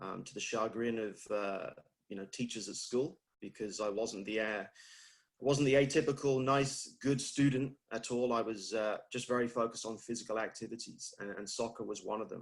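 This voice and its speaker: A man with a British accent speaks at a moderate pace with hardly any pauses. His intonation stays fairly even. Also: medium pitch for a man. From UK. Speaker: fitness industry leader. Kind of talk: interview.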